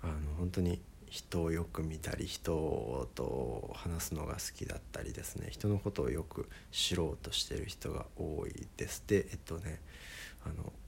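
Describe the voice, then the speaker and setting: Vocal fry colors a man's very deep, low pitch. He talks at a fairly slow pace with ordinary pitch variation. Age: 20s. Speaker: musician and podcaster. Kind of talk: casual solo talk. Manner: many filler words.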